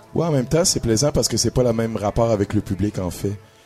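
A man's fairly low voice amid noticeable background noise. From Quebec, Trois-Rivières. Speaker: blues musician. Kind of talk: interview. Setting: club stage with live audience.

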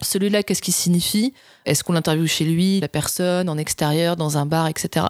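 Using an ordinary speaking voice, a woman talks at a fairly quick pace and fairly low pitch with fairly even intonation, in a dry, close sound with no echo. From southern France. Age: 30s. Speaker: TV documentary director. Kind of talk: casual interview.

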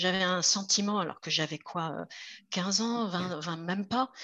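Using an unremarkable speaking voice, a woman moves at a fairly slow pace with ordinary pitch variation. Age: 50s. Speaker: roller skater and magazine founder. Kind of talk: interview.

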